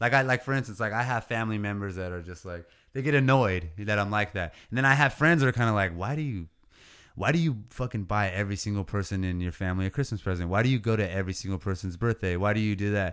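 Over a silent background on a very clean recording, a man talks at a very fast pace with an American accent. His pitch is fairly low, with ordinary pitch variation. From California Central Coast. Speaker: rapper and landscaping business owner. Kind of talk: casual chat.

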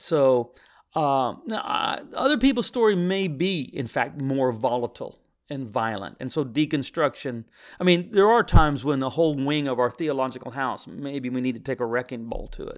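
A man's normal speaking voice with an American accent, fairly high in pitch, at a moderate pace with lively intonation, on a very clean recording with a silent background. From US Midwest, Missouri. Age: 60s. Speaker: pastor. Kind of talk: interview conversation.

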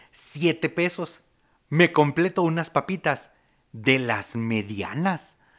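The speaker has a Mexican accent and lively intonation. The recording is very clean, with a silent background. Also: man. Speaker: podcast host. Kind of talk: casual chat.

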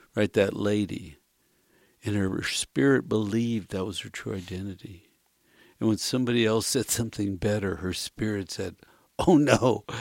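A man with an ordinary speaking voice at a fairly low pitch, moderate pace, ordinary pitch variation and big swings in loudness, in a very clean recording with a silent background. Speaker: radio co-host. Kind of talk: casual chat.

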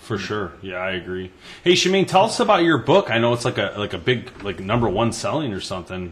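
The speaker's somewhat breathy voice moves at a fairly quick pace and swings very widely in pitch. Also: man, medium pitch for a man. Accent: Michigan. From Michigan, Detroit area. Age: 30s. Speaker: hunting podcast host. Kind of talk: casual chat.

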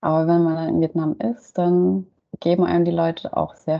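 A woman talks in an unremarkable speaking voice, fairly low in pitch. Her intonation is lively and her pace moderate. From Germany. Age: 30s. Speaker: cultural studies graduate. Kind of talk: interview.

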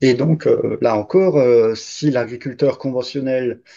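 The background stays quiet. A man's tone is dark and mellow. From Alsace, France. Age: 50s. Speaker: farm worker. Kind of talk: interview.

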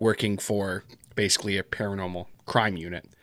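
In a Canadian accent, a man speaks at a moderate pace with a normal speaking voice and fairly even intonation, the sound dry and close with no echo on a very clean recording with a silent background. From Canada. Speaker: podcaster and horror story narrator. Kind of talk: casual interview chat.

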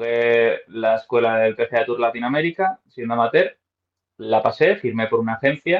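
A man with a plain, everyday voice speaks at medium pitch and a fairly slow pace, with ordinary pitch variation. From Spain, Madrid. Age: 30s. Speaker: professional golfer and golf coach. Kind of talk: interview.

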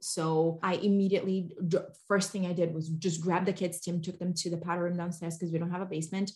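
A woman talks at a very fast pace in a fairly low, somewhat breathy voice. Her intonation is monotone and flat. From Brazil. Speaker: mom influencer.

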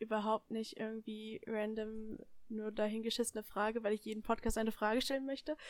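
Her fairly high voice moving at a fairly quick pace, a woman speaks in a monotone, flat intonation. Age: young. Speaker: podcast guest, friend of the hosts. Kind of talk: casual chat.

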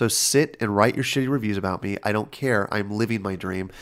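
Recorded very cleanly against a silent background, a man talks at a very fast pace in a fairly low pitch. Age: 40s. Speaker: film director. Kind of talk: casual interview chat.

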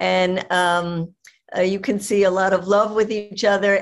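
Her unremarkable speaking voice sits at a medium pitch for a woman, moving at a moderate pace with fairly even intonation. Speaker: activist and event moderator. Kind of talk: online event moderation. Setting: video call.

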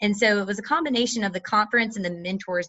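Pitch moves in an ordinary way here. The accent is American. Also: woman. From North Carolina. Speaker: MBA student. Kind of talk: interview.

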